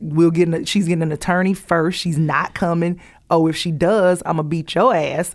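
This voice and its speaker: Fairly low in pitch, a woman speaks with a Southern US accent. She keeps a moderate pace and fairly even intonation. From US South; Columbus, Georgia. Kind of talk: casual chat. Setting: studio.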